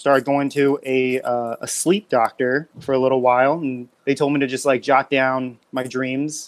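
A man at medium pitch, monotone and flat, at a moderate pace with hardly any pauses. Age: 30s. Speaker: clothing brand creator. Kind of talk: casual chat.

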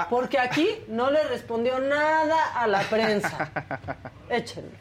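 A woman's high-pitched voice with ordinary pitch variation, over noticeable background noise. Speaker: co-host. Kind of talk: casual chat.

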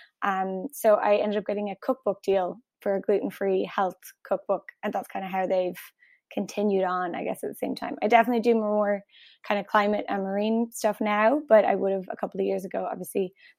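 With an Irish accent, a woman talks at a fairly quick pace and fairly even intonation, recorded dry and close with no echo against a silent, very clean background. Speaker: cookbook author and marine/climate worker. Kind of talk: interview. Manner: fast.

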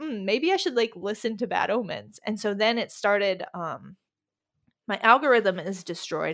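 A woman's normal speaking voice, fairly high-pitched and lively in intonation, at a moderate pace, in a very clean recording with a silent background. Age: 20s. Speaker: music writer. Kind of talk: casual chat.

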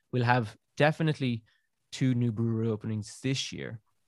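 Someone with a southern Irish accent speaks at a fairly quick pace with fairly even intonation, the sound dry and close with no echo over a quiet background. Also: man. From southern Ireland, near Cork. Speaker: beer writer and podcaster. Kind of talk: interview. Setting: remote call from an attic.

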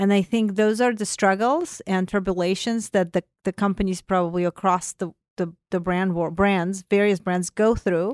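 In a Russian accent, a woman speaks at a moderate pace and medium pitch with fairly even intonation, recorded very cleanly against a silent background with a dry, close sound and no echo. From Azerbaijan. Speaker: corporate brand and content executive. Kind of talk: interview conversation. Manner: hesitant, many fillers.

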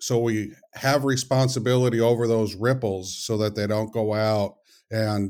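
Over a silent background in a very clean recording, a man with fairly low pitch talks at a fairly slow pace in a normal speaking voice with fairly even intonation. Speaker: author and consultant. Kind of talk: casual interview.

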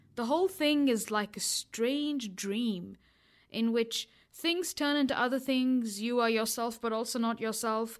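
In a very clean recording with a silent background, a woman with an ordinary speaking voice talks at a fairly slow pace, her fairly high pitch showing ordinary pitch variation and very even loudness. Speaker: podcast host. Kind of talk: casual interview chat. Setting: small recording booth.

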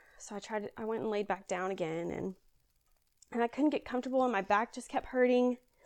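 Against a quiet background, a woman with a Southern US accent talks at a very fast pace, with a fairly high pitch and ordinary pitch variation. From Kentucky, near Louisville. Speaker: guest sharing personal faith story. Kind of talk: testimony.

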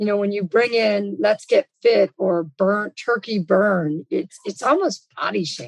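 A woman with an American accent speaks at medium pitch in a dry, close sound with no echo. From Los Angeles, US. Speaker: fitness company executive. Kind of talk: interview.

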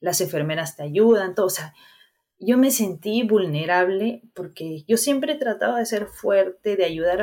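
Her pitch is medium and her intonation lively. The woman speaks at a fairly slow pace. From Peru, Guarmey (Ancash). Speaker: cancer survivor. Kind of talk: interview, personal testimony.

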